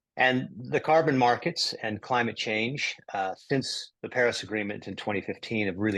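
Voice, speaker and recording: An ordinary speaking voice from a man with an American accent, lively intonation, a moderate pace and hardly any pauses. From United States. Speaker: climate investor. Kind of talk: interview.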